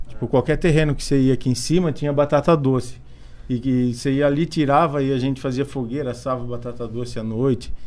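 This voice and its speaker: With fairly even intonation, the delivery runs at a very fast pace. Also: man, medium pitch for a man. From Brazil, São Paulo state interior. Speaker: skateboarder. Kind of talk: casual interview chat.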